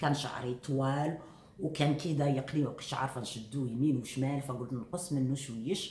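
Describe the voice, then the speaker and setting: A soft-spoken woman with a Moroccan accent talks at a moderate pace in a very deep, low pitch. Audible room echo and noticeable background noise surround her voice. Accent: Moroccan Arabic (Darija). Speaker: vlogger. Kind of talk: casual vlog talk to viewers. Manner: hesitant fillers.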